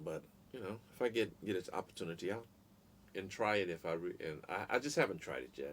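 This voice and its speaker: A man with an American accent talks at a very fast pace. His very deep, low voice carries lively intonation. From New Orleans, US South. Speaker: live streamer and musician. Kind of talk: casual live-stream Q&A. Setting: live stream.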